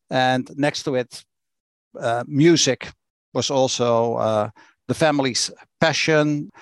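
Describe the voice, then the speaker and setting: A man with a Dutch accent speaks at a very slow pace with long, frequent pauses, medium pitch and fairly even intonation, the sound dry and close with no echo over a quiet background. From Netherlands, Rotterdam. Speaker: church executive. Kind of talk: interview. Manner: blunt.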